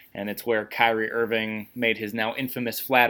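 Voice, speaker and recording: Here is a man with an unremarkable speaking voice. He talks at a fairly quick pace with fairly low pitch. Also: very clean recording, silent background. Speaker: podcast host and sports writer. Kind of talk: casual interview conversation.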